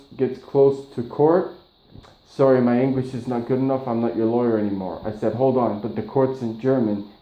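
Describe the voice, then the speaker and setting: Audible room echo surrounds a man talking at a moderate pace with a medium pitch and ordinary pitch variation. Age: 40s. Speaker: patient. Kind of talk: casual chat. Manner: halting.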